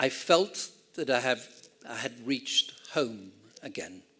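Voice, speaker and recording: This is a man speaking with an English accent. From Argentina, raised then English boarding school from age ten. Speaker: ranch owner and speaker. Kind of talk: storytelling talk. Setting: stage with audience.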